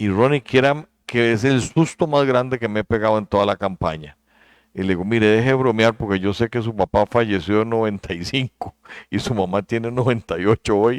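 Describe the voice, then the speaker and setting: This is a man with an unremarkable speaking voice, medium in pitch with ordinary pitch variation, at a fairly quick pace. The sound is dry and close with no echo against a quiet background. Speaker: vice-presidential candidate. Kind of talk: interview.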